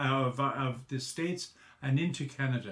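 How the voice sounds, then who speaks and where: A somewhat breathy man with a Galway accent speaks at a very slow pace with fairly even intonation. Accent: local Galway Irish. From Ireland, Ballygar, County Galway. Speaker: local historian and documentary presenter. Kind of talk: documentary narration. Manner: halting, with fillers and restarts.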